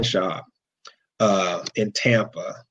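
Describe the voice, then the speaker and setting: A man with an American accent over light background noise. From Cleveland, Ohio; Ohio. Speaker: monster truck driver; guest. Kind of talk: casual chat. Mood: relaxed, smiling. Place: home room. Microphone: video call.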